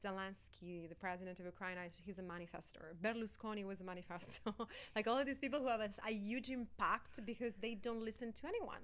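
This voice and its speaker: A woman speaks very fast in an Italian accent. Her pitch varies in an ordinary way. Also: medium pitch for a woman. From Italy, Sicily. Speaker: life coach and actress. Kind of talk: interview.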